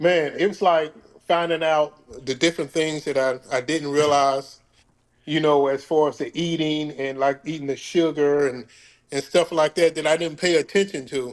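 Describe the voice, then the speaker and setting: This man's pitch is fairly high, his intonation fairly even, and his pace moderate. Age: 60s. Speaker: fitness coaching client. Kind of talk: interview. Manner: casual, halting with repetitions.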